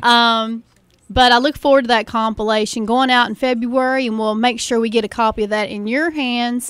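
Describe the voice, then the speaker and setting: Speaking at a moderate pace with an Appalachian accent, this woman has a fairly high pitch and a monotone, flat delivery. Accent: Appalachian mountain. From Eastern Kentucky (Appalachia, Floyd County). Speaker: music promoter and label owner. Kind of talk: radio interview. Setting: radio studio.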